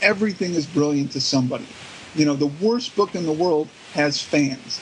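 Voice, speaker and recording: A man talks at a fairly quick pace in a high voice with lively intonation. There is noticeable background noise. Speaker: author. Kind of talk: casual chat.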